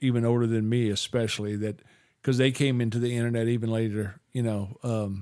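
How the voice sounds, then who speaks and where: A man's dark, mellow voice at medium pitch, fairly quick and fairly even in intonation. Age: 60s. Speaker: podcast host. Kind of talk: casual chat. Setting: studio. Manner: halting, many fillers and restarts.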